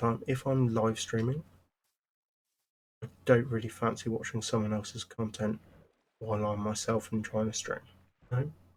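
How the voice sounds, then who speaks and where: A man speaks in a medium-pitched, somewhat breathy voice. His delivery is monotone and flat at a fairly quick pace. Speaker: gaming streamer. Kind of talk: casual livestream chat. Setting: livestream. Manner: rambling, hesitant with fillers.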